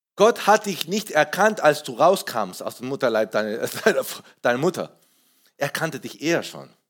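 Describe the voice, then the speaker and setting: In an animated tone, a man with a fairly high pitch talks at a moderate pace, his pitch swinging very widely and his loudness rising and falling sharply. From Peru. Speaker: pastor. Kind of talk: sermon. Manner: halting.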